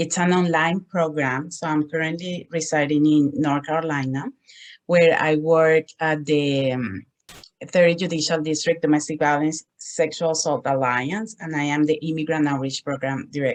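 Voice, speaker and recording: Here a woman speaks with a Spanish accent. Her pitch is very deep and low, and her intonation stays fairly even. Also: moderate pace. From Colombia. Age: 40s. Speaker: social work student and domestic violence advocate. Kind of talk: presentation.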